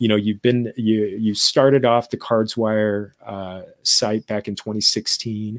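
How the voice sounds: A man speaks slowly in a fairly low voice with little pitch movement.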